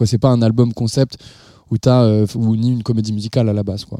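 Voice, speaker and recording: The man's tone is dark and mellow, captured on a very clean recording against a silent background. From northern France (Nord-Pas-de-Calais). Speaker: musician. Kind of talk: interview. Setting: his living room.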